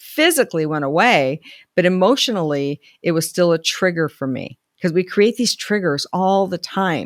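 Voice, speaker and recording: A woman with a plain, everyday voice speaks at a moderate pace and a fairly low pitch with ordinary pitch variation, in a very clean recording with a silent background and a dry, close sound with no echo. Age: 60s. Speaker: life coach. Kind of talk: solo video talk. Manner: conversational.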